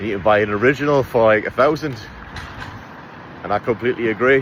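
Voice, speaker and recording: With an English accent, a man talks at a fairly quick pace against noticeable background noise. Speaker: travel vlogger. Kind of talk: casual vlog narration. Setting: outdoors. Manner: casual, chatty.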